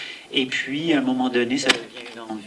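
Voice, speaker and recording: A man speaks at medium pitch over noticeable background noise. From Quebec. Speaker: film director. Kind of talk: audience Q&A.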